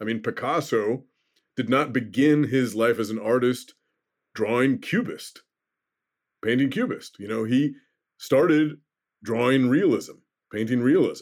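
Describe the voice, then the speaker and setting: A man with a plain, everyday voice speaks at a fairly slow pace and medium pitch with ordinary pitch variation, in a very clean recording with a silent background. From Oregon. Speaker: novelist and comic book writer. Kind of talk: interview.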